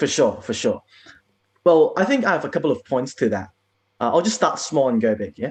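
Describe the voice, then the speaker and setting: A man's fairly high voice with vocal fry, very wide pitch swings, and long, frequent pauses. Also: fairly quick pace. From Hong Kong. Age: 20s. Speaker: political candidate and former protester. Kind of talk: interview. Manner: casual.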